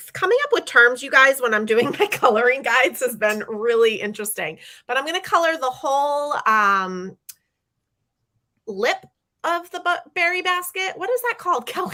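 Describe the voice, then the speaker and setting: A high-pitched woman with a bright, sharp tone speaks at a moderate pace in a raised, projected voice, her pitch swinging very widely. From New Hampshire. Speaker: craft class host. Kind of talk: coloring tutorial. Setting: livestream.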